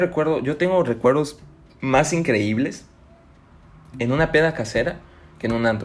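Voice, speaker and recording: In a Chiapas Mexican accent, the speaker talks in an animated tone with ordinary pitch variation. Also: man. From Mexico, Chiapas (Tuxtla Gutiérrez). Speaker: podcast host. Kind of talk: casual monologue. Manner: animated, laughing.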